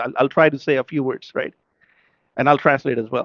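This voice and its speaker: A man speaks with a Pakistani accent. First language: Urdu. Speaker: religious speaker at a majlis. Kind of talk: sermon. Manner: emotional, impassioned.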